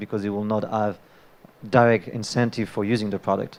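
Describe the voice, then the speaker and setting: A man with a French accent talks at a very fast pace. His medium pitch holds a monotone, flat intonation. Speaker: debater, crypto investor. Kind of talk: live panel debate.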